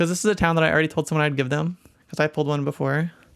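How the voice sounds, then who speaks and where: A very clean recording with a silent background, the talking very fast. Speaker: card game content creator. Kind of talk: casual voiceover reacting to own video. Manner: casual, rambling.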